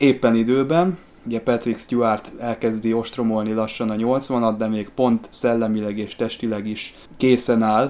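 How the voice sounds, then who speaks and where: This is an ordinary speaking voice. It moves at a fairly slow pace with fairly even intonation. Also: man. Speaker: podcast host, sci-fi fan. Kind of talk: casual chat. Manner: formal, scripted-sounding.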